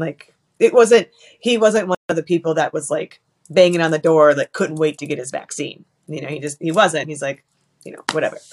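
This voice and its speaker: The speaker has a normal speaking voice, a fairly quick pace and ordinary pitch variation. The sound is dry and close with no echo, in a very clean recording with a silent background. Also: woman. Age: 40s. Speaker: widow sharing her story. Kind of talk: testimony.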